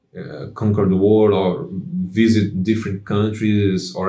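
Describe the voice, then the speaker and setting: With a non-native accent, a man talks at a fairly slow pace in a fairly low, dark, mellow voice. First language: not English. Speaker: music channel host. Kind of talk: casual monologue. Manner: halting, many fillers.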